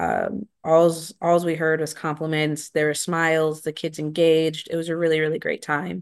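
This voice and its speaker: Against a quiet background, a woman speaks with a very deep, low pitch and monotone, flat intonation. Her pace is moderate, with hardly any pauses. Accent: American. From rural Wisconsin. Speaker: program director. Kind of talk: interview. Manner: frequent filler words.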